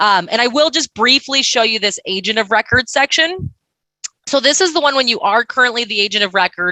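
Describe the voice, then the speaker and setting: Speaking at a fairly quick pace, a woman with a high-pitched, bright, sharp tone uses lively intonation at very even loudness, in a dry, close sound with no echo. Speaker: software vendor presenter. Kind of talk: product demo. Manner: fast.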